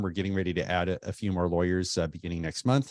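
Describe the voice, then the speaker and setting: Against a quiet background, a man with a very deep, low voice talks at a very fast pace in a dry, close sound with no echo. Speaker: estate planning lawyer. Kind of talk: informational talk to camera. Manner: casual, many fillers.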